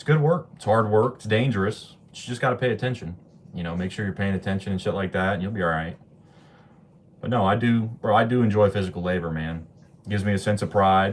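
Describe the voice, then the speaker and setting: With an American accent, a man talks very fast in a fairly low voice, with big swings in loudness and ordinary pitch variation. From Ohio, US Midwest. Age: 20s. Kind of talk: casual chat. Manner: animated.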